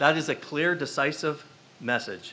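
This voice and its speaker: A man with an American accent, with noticeable background noise behind him. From northwestern Pennsylvania. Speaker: parent and community member. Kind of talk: public comment at a school board meeting. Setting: school board meeting room. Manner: fast.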